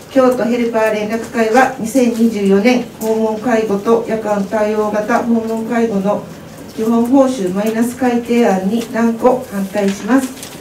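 At a very slow pace, a woman speaks at a fairly high pitch with monotone, flat intonation, with audible room echo and light background noise. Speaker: home care office manager; conference speaker. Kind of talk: reading aloud a statement. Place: meeting room.

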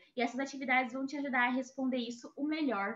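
Against a quiet background, a woman talks at a fairly quick pace in a high pitch. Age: 20s. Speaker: international relations graduate, speaker; speaker. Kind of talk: presentation talk. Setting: video call. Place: home room. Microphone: earbuds.

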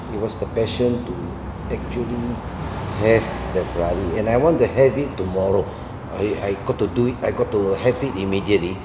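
Over noticeable background noise, a man with a fairly low pitch speaks with lively intonation. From Malaysia, Klang. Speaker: car salesman and ex-race car driver. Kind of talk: interview. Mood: reflective, storytelling. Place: studio.

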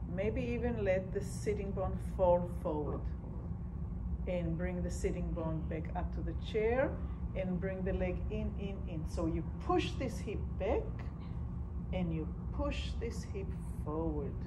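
A woman with long, frequent pauses over loud background noise. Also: fairly slow pace. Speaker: movement instructor. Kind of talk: guided movement class, giving calm step-by-step cues. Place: hall. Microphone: camera far.

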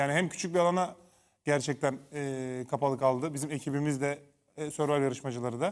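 Against a quiet background, a man with a plain, everyday voice speaks at a fairly quick pace, his pitch fairly high and his intonation fairly even. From Turkey. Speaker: former reality show contestant and TV commentator; TV commentator. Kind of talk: casual chat. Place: studio.

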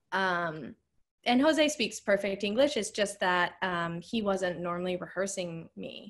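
Over a quiet background, a woman with an American accent speaks at a fairly slow pace with lively intonation. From Cape Cod, Massachusetts. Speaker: ballet dancer. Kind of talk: interview answer. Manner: casual, chatty. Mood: cheerful, amused storytelling. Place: home room. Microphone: video call.

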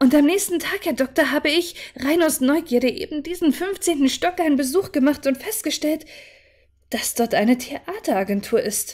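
A woman's high voice with lively intonation at a moderate pace, over a quiet background. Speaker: audiobook narrator / livestreamer. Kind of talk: dramatic narration, reading aloud a horror story. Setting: live stream. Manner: calm, soothing, measured pace. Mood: calm, relaxing narration. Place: home room.

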